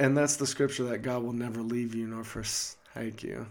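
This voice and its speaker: A man's normal speaking voice, medium in pitch, with fairly even intonation and a moderate pace. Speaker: podcast host. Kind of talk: casual conversational podcast.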